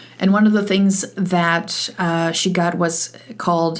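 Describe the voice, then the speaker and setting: A woman speaks with a Polish accent. Her pitch is fairly low, and her intonation is fairly even. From Poland, moved to Canada at eleven. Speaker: podcast host, e-learning consultant. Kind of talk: solo podcast monologue. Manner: casual, with many fillers and restarts.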